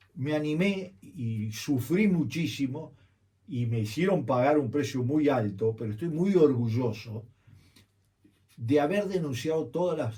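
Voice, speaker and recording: A man with a fairly high pitch talks at a fairly slow pace, his voice somewhat breathy. The tone is dark and mellow, and the intonation lively. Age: 70s. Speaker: journalist and political campaign strategist. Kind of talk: radio interview. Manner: animated.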